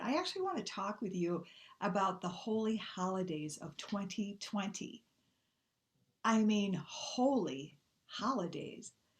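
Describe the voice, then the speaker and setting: A woman talks at a fairly slow pace with an American accent. Her pitch is medium with ordinary variation, and her voice is somewhat breathy. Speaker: minister. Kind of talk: sermon. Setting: online church service.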